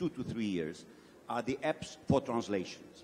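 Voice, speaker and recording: Talking at a fairly quick pace with lively intonation, a man speaks with a strong non-native accent. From Brazil. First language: Portuguese. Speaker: event industry executive. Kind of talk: panel discussion.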